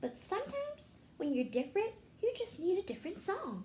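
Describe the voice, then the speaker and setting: A squeaky, put-on character voice, raised and projected, with very wide pitch swings, a fairly quick pace, and clear background noise. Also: woman, extremely high pitch for a woman. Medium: read story.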